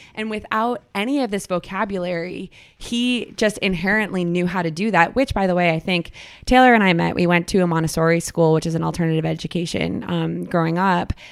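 An ordinary speaking voice from a woman with an American accent, fairly low-pitched, with ordinary pitch variation and a fairly quick pace. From Boston. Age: 20s. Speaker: actress and former college athlete. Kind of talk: casual chat. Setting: at home in her apartment.

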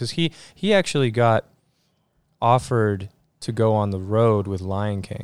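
Recorded very cleanly over a silent background, a man with an American accent speaks at a fairly low pitch with ordinary variation. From New Jersey. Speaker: jazz pianist. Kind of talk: casual interview. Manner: halting, many fillers.

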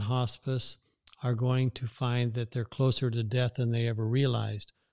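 A man with an American accent speaks at a moderate pace, his medium pitch held in monotone, flat intonation. The sound is dry and close with no echo, over a quiet background. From Eastern Oregon, US. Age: 70s. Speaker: pastor and community leader. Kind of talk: casual interview. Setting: studio.

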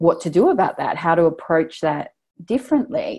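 A woman's fairly low-pitched voice with a dark, mellow tone and an Australian accent. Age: 40s. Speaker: online business founder and feminist writer. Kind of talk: casual interview.

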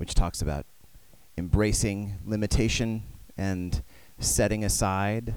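With an American accent, a man speaks at a very slow pace in a fairly low pitch and fairly even intonation. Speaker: campus minister. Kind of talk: sermon and introduction. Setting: church service.

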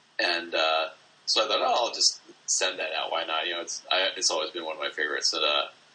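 Very fast speech from a man, with noticeable background noise behind it. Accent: American. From US Northeast, Easton, Pennsylvania. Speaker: artist. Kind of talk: interview. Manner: halting.

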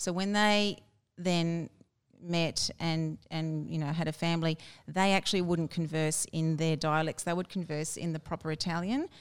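A woman speaks at a moderate pace with a fairly low pitch, a flat monotone delivery and an Australian accent, on a very clean recording with a silent background. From Brisbane, Australia. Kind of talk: interview.

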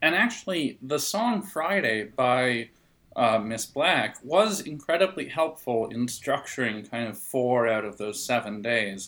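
A man with medium pitch and an ordinary speaking voice talks at a fairly slow pace with lively intonation. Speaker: podcast co-host. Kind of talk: casual banter. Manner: jokey, plays with fake accents.

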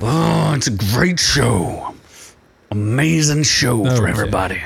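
A man at medium pitch puts on a raspy character voice and speaks at a fairly slow pace. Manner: put-on exaggerated voice.

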